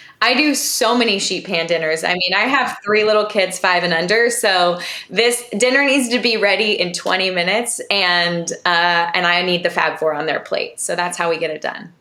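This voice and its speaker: Against noticeable background noise, a woman of medium pitch speaks at a moderate pace with hardly any pauses and ordinary pitch variation. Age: 40s. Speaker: nutritionist. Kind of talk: interview podcast.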